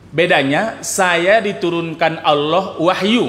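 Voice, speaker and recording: Over noticeable background noise and audible room echo, a man talks very slowly in a high pitch, with ordinary pitch variation. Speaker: Islamic preacher. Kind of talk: religious lecture. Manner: slow, deliberate; soft.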